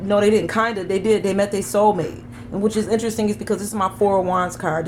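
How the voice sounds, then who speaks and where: There is noticeable background noise. The voice shows ordinary pitch variation. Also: woman. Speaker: tarot reader. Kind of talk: tarot reading monologue. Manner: fast.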